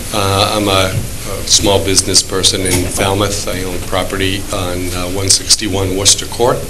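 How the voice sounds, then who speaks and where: Audible room echo and noticeable background noise surround the recording. A man with a fairly low voice speaks at a fairly slow pace. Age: 60s. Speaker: small business owner and landlord speaking at public meeting. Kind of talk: public comment at town board meeting.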